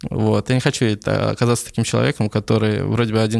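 Recorded very cleanly against a silent background, a man of medium pitch speaks very fast in a flat monotone. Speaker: coffee business owner. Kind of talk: casual interview.

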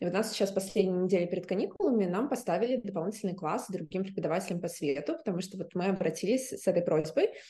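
At a very fast pace, a woman speaks in a medium pitch with a somewhat breathy, dark, mellow tone. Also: ordinary pitch variation, hardly any pauses. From Russia. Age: 30s. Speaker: theatre director and film student. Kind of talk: interview.

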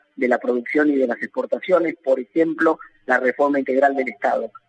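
A plain, everyday voice moves at a fairly quick pace with ordinary pitch variation, recorded dry and close with no echo. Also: man. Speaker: economist and national congressman. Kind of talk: phone interview.

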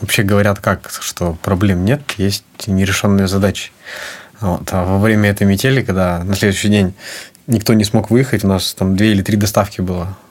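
Noticeable background noise accompanies a man whose fairly low pitch holds fairly even intonation. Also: moderate pace. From Sakhalin, Russian Far East (Korsakov). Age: 20s. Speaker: flower shop co-owner. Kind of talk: interview.

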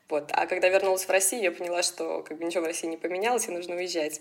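Noticeable background noise sits behind a woman speaking at a very fast pace. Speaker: advertising sales professional. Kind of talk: interview.

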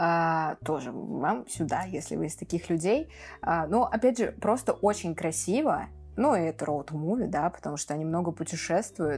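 In a very clean recording with a silent background, a woman with vocal fry and a fairly low pitch speaks at a moderate pace with lively intonation. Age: 20s. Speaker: film podcast co-host. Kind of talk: casual chat.

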